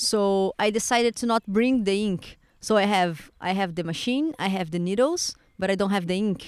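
Someone talks at a moderate pace in a Portuguese accent, with ordinary pitch variation. The recording is very clean, with a silent background. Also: woman, medium pitch for a woman. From Brazil. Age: 20s. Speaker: tattoo artist. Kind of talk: casual interview. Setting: outdoors on a park bench. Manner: halting.

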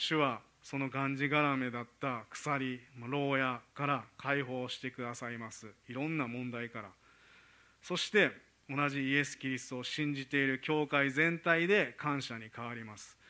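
At a fairly slow pace, a man with medium pitch speaks in a bright, sharp tone with fairly even intonation and big swings in loudness. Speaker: preacher. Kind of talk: sermon.

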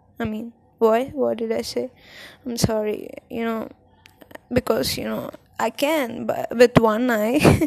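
A woman's fairly high voice at a very slow pace, with long, frequent pauses and big swings in loudness. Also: ordinary pitch variation. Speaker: podcaster. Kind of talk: casual monologue. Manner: soft-spoken; halting.

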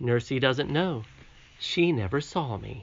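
A man's put-on character voice, shaky and gentle in tone, at medium pitch and a fairly slow pace, with lively intonation. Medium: read story. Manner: gentle, kindly.

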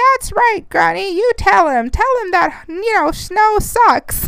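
Using a put-on character voice, a woman speaks at an extremely high pitch with very wide pitch swings. She goes at a fairly slow pace over light background noise. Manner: mocking, jokey.

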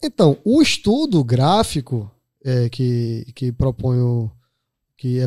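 Over a silent background in a very clean recording, a man speaks with a dark, mellow tone. His pitch swings very widely. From Pernambuco backlands, Brazil. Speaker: investment advisor. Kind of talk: casual interview.

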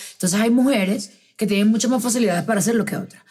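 A woman speaks at a medium pitch with ordinary pitch variation. Noticeable background noise sits behind her. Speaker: podcast host. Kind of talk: casual chat.

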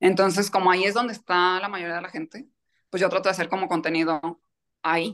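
A woman talks at a very fast pace and a medium pitch. Her intonation stays fairly even. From Mexico, Michoacán. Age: 30s. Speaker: kidney transplant patient. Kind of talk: interview testimony.

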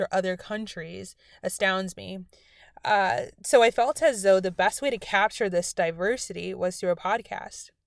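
At a moderate pace, a woman with an unremarkable speaking voice talks in a medium pitch on a very clean recording with a silent background. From South Florida, moved to Buffalo at 13. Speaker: podcast host and college student. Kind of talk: scripted podcast intro.

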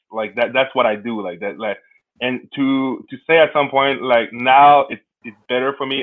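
A man with a Quebec accent speaks at a moderate pace with fairly even intonation. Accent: Québécois French accent in English. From Quebec City, Canada. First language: French. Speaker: sport founder, former pro basketball player. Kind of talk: interview.

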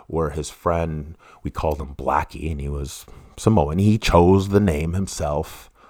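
A man's very deep, low voice in a Western Canadian accent, with ordinary pitch variation and big swings in loudness. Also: fairly slow pace. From Canada, East Vancouver. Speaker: true crime podcaster. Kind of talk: casual monologue. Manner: halting, many restarts.

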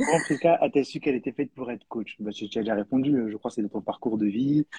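A dark, mellow tone comes through a dry, close recording with no echo, at a fairly quick pace with ordinary pitch variation. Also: man. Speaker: live stream host. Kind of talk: live podcast interview. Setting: online live stream. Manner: hesitant, repeats words.

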